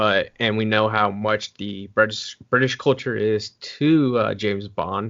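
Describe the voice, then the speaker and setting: A man with an American accent, fairly low in pitch, fairly slow and fairly even in intonation. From US, Oregon. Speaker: interview host. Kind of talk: interview.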